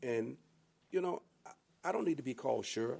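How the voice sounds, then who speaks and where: A man speaks with a dark, mellow tone. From US South, Sumter, South Carolina. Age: 60s. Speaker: county sheriff. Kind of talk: podcast interview.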